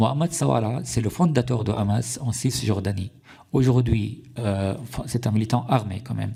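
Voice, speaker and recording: A man's dark, mellow voice with vocal fry, medium pitch, ordinary pitch variation and a moderate pace, with an Arabic accent. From Syria. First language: Arabic (speaking French). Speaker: journalist. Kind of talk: testimony before a parliamentary committee. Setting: parliamentary hearing room. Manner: halting, many hesitations and restarts.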